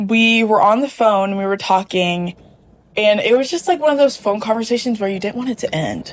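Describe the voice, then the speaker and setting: A woman with an American accent has an ordinary speaking voice, fairly high in pitch, at a moderate pace with ordinary pitch variation. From US South, Mississippi. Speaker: student. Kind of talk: casual chat.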